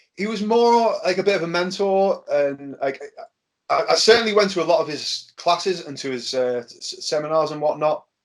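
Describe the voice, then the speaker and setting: A man's high-pitched voice at a moderate pace, with big swings in loudness. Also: lively intonation. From Birkenhead, near Liverpool, England. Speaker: pro wrestler. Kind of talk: casual chat. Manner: halting, many repetitions and fillers.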